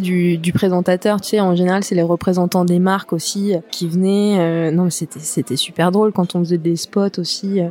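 A woman has a plain, everyday voice, medium in pitch. She speaks at a fairly slow pace with fairly even intonation. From western France, La Rochelle. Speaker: artist and former stylist. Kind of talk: casual interview.

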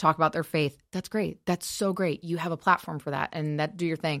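Recorded very cleanly against a silent background, a woman with an American accent speaks in a very deep, low voice with ordinary pitch variation, the sound dry and close with no echo. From Michigan, Kalamazoo. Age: 30s. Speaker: nail artist and show host. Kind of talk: casual interview chat. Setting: studio.

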